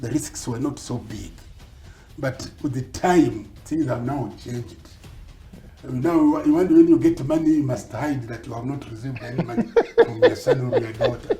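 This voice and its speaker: Music plays behind a man talking at a moderate pace. His loudness swings widely. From Kenya. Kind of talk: interview answer.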